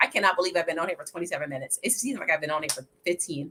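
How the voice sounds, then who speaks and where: A woman talks over noticeable background noise. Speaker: financial advisor. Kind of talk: live stream Q&A. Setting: livestream. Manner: fast.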